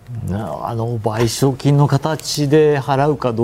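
A man talks with ordinary pitch variation, with noticeable background noise present. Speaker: newspaper editorial writer, former Moscow correspondent. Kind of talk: TV news panel discussion.

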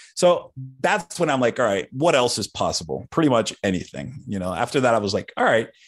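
A man's fairly quick speech with very wide pitch swings and vocal fry. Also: medium pitch for a man. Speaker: founder of an online investing community. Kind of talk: interview. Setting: video call.

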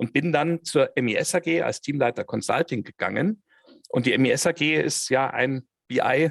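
A man speaks in a plain, everyday voice, fairly high in pitch with ordinary pitch variation. The sound is dry and close, with no echo. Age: 50s. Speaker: head of controlling and business intelligence. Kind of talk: interview.

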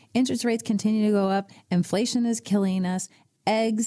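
Somewhat breathy and dark and mellow in tone, a woman speaks at a moderate pace with ordinary pitch variation. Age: 60s. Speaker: financial advisor. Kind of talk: casual chat.

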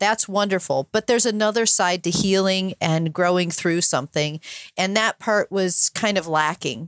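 A woman's plain, everyday voice at medium pitch, with ordinary pitch variation, a moderate pace and very even loudness, in a dry, close sound with no echo and a very clean recording over a silent background. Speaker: podcaster and sailor, cancer survivor. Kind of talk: interview conversation.

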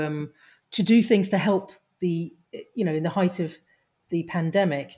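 Her intonation monotone and flat, a woman speaks at a fairly low pitch in a dark, mellow tone on a very clean recording with a silent background. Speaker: podcast co-host. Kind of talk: casual interview.

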